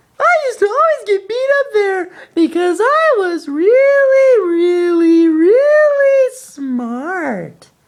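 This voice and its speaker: This cartoonish character voice is squeaky and extremely high, with very wide pitch swings. It moves at a very slow pace yet has hardly any pauses. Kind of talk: comic puppet voice. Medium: puppet show. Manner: slow, confused, rambling.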